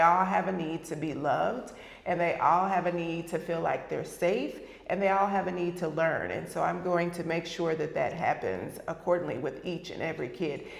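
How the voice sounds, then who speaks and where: A woman with an American accent speaks at a fairly low pitch, with audible room echo and noticeable background noise. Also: fairly even intonation, moderate pace. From US mainland. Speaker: school district superintendent. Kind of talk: interview. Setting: live interview.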